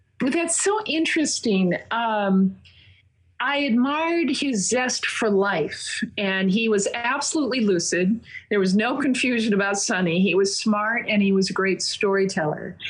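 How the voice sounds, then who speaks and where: A woman with an American accent speaks at a fairly high pitch, somewhat breathy and fairly slow. Her intonation is lively while her loudness stays very even. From Minnesota. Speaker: investigative reporter and author. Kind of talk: interview.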